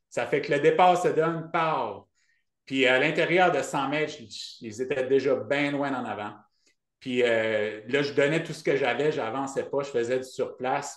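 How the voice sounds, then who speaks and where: With an Acadian accent, a man speaks fairly slowly at a fairly high pitch, with ordinary pitch variation, big swings in loudness, and audible room echo. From Acadian New Brunswick, Canada. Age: 40s. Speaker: ultrarunner and running coach. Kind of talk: podcast interview. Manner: hesitant, many fillers.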